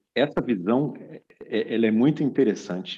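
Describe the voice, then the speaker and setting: A man talks at a moderate pace. His tone is dark and mellow, his intonation lively. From Brazil. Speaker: podcast host and business consultant. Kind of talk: casual chat.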